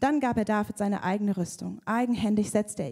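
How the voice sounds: Natural reading voice, nothing more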